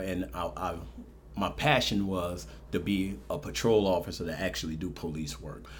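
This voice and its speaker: In a room with audible echo, a man speaks with vocal fry at a very deep, low pitch that makes very wide swings. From New Orleans, Ninth Ward. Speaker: police officer and city marshal candidate. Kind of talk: interview.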